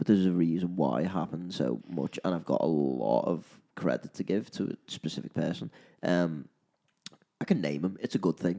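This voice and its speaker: A dark, mellow voice in a Liverpool accent, with vocal fry, ordinary pitch variation and a fairly quick pace, in a dry, close sound with no echo. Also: man, very deep, low pitch for a man. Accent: Liverpool (Scouse). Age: 20s. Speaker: live musician, podcast co-host. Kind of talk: casual chat.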